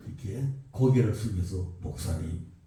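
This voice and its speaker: Audible room echo surrounds the voice. A man talks with lively intonation. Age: 70s. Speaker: pastor. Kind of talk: sermon.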